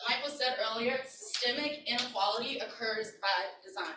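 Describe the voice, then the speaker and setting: Speaking with an American accent, a woman uses a high pitch with ordinary variation and a bright, sharp tone. She keeps a moderate pace, and room echo is audible. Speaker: community organizer and workshop leader. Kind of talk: workshop presentation. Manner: loud; animated.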